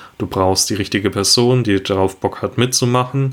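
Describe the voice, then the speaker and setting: A man's voice with fairly even intonation. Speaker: podcast co-host. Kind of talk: solo monologue.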